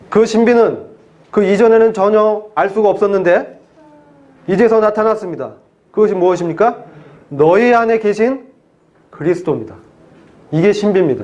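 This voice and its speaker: Speaking at a moderate pace with long, frequent pauses, a man with a high pitch keeps his loudness very even and his pitch variation ordinary, with audible room echo around him. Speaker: pastor. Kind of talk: sermon.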